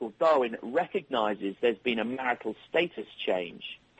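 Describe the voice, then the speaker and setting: A man with an English accent at a moderate pace. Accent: English accent, retained. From England (London). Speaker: software company executive. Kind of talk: radio interview. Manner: hesitant, many fillers.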